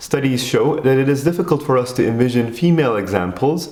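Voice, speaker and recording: Through noticeable background noise, a man speaks in a Turkish accent at medium pitch and a fairly quick pace. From Turkey. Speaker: educational video creator. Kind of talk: scripted narration.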